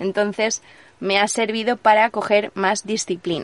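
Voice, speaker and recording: Her intonation stays flat and monotone. The speaker is a woman. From Spain, Alicante province. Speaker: traveller, former radio presenter. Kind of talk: interview, casual chat. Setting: in person, same room as host.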